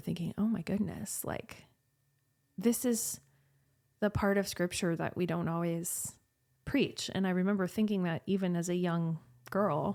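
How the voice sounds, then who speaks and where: On a very clean recording with a silent background, a woman of medium pitch speaks at a fairly slow pace with fairly even intonation. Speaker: guest sharing chronic illness story. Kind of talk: testimony.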